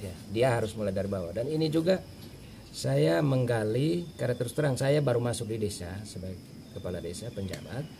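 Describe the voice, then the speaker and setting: A man talks at a very fast pace with lively intonation. There is audible room echo. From Flores (Manggarai), raised in Timor, Indonesia. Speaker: acting village head. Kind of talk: interview. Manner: halting, many fillers.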